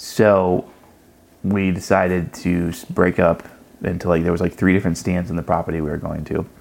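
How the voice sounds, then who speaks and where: An American-accented man with a very deep, low voice speaks at a fairly quick pace with fairly even intonation. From US South, South Carolina. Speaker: podcast host. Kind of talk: casual chat. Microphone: mic problems during part of recording.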